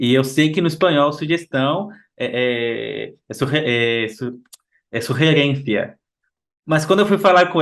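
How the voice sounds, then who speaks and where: With a Brazilian accent, a man talks at a fairly slow pace in a fairly high voice, using ordinary pitch variation and long, frequent pauses. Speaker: podcast host. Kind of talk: casual chat. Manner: halting.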